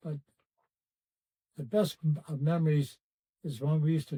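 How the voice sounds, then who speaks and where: In an American accent, a man with a dark, mellow, somewhat breathy tone talks at a moderate pace with fairly even intonation, the sound dry and close with no echo. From US Midwest, Cleveland, Ohio. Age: 80s+. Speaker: former basketball player. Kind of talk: interview, reminiscing. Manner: halting, many fillers.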